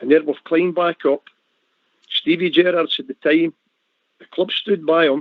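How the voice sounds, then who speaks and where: This man has a fairly high-pitched voice with a Glasgow accent. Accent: Scottish (Glasgow). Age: 60s. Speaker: football fan panelist. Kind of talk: casual chat.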